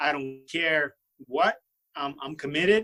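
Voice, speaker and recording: The man's tone is bright and sharp, with ordinary pitch variation. He talks at a fairly slow pace. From Brooklyn, New York (born in Russia). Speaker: Marine and fitness personality. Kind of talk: podcast interview. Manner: halting, many fillers and restarts.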